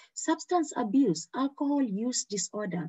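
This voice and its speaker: Her pitch leaps across a very wide range. The woman's voice is somewhat breathy. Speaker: medical exam tutor. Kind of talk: online training lecture. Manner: fast; animated.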